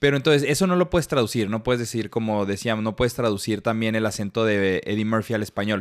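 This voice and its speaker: In a Mexican accent, a man speaks at a very fast pace with hardly any pauses. His medium pitch shows ordinary variation on a very clean recording with a silent background. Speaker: podcast co-host. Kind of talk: casual chat.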